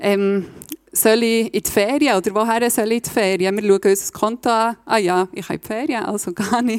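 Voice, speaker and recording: With a Swiss German accent, the speaker moves at a moderate pace with ordinary pitch variation and big swings in loudness, in a dry, close sound with no echo. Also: woman, fairly high pitch for a woman. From Switzerland, Bernese Oberland (Reichenbach). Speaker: lay preacher. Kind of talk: sermon.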